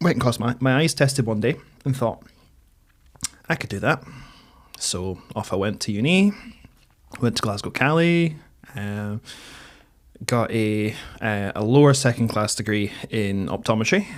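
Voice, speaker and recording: Pausing long and often, a man with a medium pitch speaks at a moderate pace with lively intonation. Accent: northeast Scottish. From northeast Scotland, between Aberdeen and Dundee. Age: 30s. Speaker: mature student. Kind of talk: podcast interview. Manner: hesitant, many fillers.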